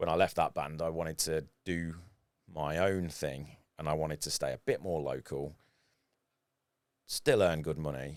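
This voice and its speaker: A man's very deep, low voice, fairly even in intonation, broken by long, frequent pauses. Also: moderate pace. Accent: British. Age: 40s. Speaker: photographer and former professional guitarist. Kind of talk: casual podcast interview.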